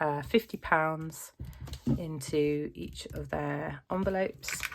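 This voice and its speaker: A woman's voice comes through over clearly audible background noise. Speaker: family budgeting vlogger. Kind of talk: casual vlog talk to camera. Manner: hesitant, many fillers.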